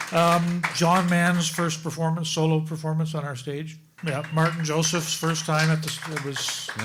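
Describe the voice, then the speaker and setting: A man's fairly high, monotone, flat voice amid audible room echo and noticeable background noise. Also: moderate pace, hardly any pauses. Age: 60s. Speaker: folk club organizer. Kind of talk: live panel interview. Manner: halting, repetitive.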